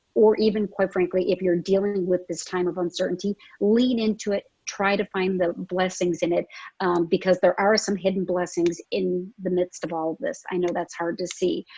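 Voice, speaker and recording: A woman speaks at medium pitch in a dark, mellow tone with monotone, flat intonation. The sound is dry and close, with no echo. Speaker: business founder. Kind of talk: panel discussion. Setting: video call. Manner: fast; loud.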